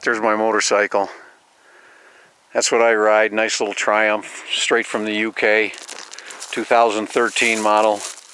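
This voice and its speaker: A man's monotone, flat delivery at a moderate pace, with long, frequent pauses and noticeable background noise. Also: fairly low pitch for a man. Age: 60s. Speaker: vlogger. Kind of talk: casual monologue vlog. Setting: outdoors on a mountain road. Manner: hesitant, many repetitions and fillers.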